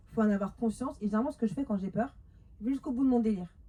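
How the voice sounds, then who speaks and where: A woman's somewhat breathy voice has a dark, mellow tone, medium pitch, and ordinary pitch variation. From France, Paris suburbs (Montreuil). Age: 30s. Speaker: women's life coach. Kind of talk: talk to a live audience. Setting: stage with audience. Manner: fast; animated.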